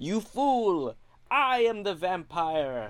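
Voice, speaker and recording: A put-on character voice at a middle pitch, with very wide pitch swings. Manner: villainous, scolding.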